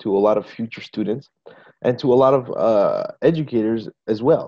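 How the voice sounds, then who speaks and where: A man talks at a medium pitch with ordinary variation. The background is quiet. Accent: American. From US, New Mexico. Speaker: English teacher. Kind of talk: webinar talk. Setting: video call. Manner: hesitant, many fillers.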